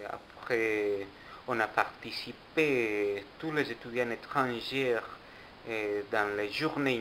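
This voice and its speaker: Very slow and fairly even in intonation, a man with a non-native accent speaks at a medium pitch. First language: not French (speaking French). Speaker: international student. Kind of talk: documentary interview.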